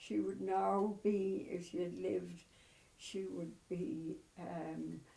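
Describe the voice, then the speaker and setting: A woman with a Cork accent at a very slow pace, with audible room echo. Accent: Cork Irish. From Ireland, Cobh, County Cork. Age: 80s+. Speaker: elderly mother interviewed about family history. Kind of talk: oral history interview. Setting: at home. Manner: halting, with many fillers.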